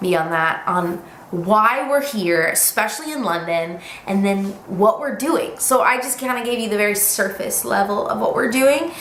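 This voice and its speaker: A woman talks with lively intonation in an American accent. Room echo is audible, and background noise is noticeable. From United States. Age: 20s. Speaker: vlogger. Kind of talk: casual vlog update. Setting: home living room, camera.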